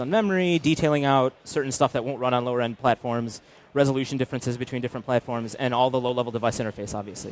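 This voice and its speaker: On a very clean recording with a silent background, a man talks at a medium pitch with ordinary pitch variation in a dry, close sound with no echo. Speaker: game developer giving a conference talk. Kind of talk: conference presentation. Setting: stage at trade show booth with audience. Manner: fast; frequent fillers and false starts.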